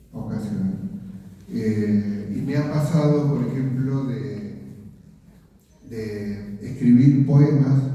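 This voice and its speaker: Audible room echo and noticeable background noise surround a man speaking at a medium pitch with ordinary pitch variation and long, frequent pauses. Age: 70s. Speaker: author and writing workshop teacher. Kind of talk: book presentation interview. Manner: hesitant, many fillers.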